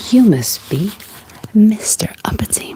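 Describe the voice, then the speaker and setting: A female-sounding voice whispers. It is a put-on character voice. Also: fairly slow pace. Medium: read story.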